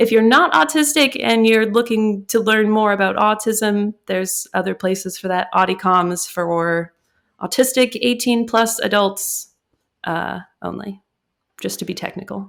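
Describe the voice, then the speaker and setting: Using an unremarkable speaking voice, a woman with an American accent talks at a moderate pace and medium pitch with ordinary pitch variation on a very clean recording, silent background. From US Midwest. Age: 30s. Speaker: podcast co-host. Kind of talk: casual chat.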